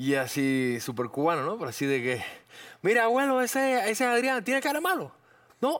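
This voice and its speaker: This man's voice makes very wide pitch swings. It sits high in pitch. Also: moderate pace. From Cuba. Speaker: actor. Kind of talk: casual chat.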